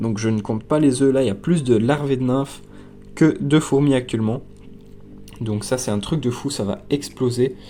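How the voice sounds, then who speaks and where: Music plays in the background as a man talks at a moderate pace. His pitch is medium, with ordinary variation. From Belgium. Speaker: ant-keeping youtuber. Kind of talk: casual video tour. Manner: casual, many fillers.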